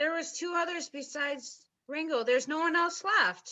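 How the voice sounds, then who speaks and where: At a moderate pace, someone speaks in a high-pitched, put-on character voice. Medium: stage play. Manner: sharp, sneering.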